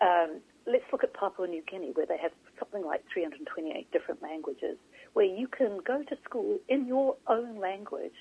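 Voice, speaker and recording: A woman is speaking with a New Zealand accent. Her pace is moderate. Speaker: author and journalist. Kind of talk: interview. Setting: phone call.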